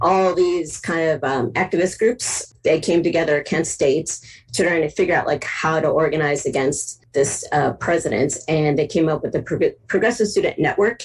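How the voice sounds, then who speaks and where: A woman with an American accent talks at a moderate pace in a somewhat breathy voice. Her pitch is fairly low, with ordinary variation. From US Midwest, Cleveland, Ohio. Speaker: photographer and activist. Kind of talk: interview conversation.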